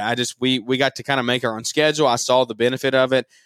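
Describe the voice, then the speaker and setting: A man with a Southern US accent, talking at a very fast clip. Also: dry, close sound with no echo. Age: 20s. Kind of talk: casual interview chat.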